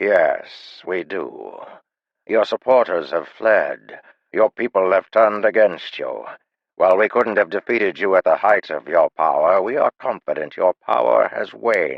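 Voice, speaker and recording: A man puts on a gravelly character voice. He speaks at a moderate pace. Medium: read story. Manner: calm.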